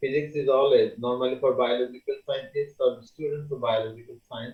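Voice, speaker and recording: A man with a Bangladeshi accent speaks at a fairly quick pace. His loudness swings widely. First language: Bengali. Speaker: university lecturer. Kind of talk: lecture.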